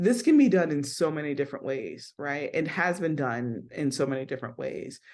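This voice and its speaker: With hardly any pauses, a woman with a very deep, low pitch speaks in an animated tone and ordinary pitch variation. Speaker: business coach. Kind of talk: live-streamed coaching talk. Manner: fast.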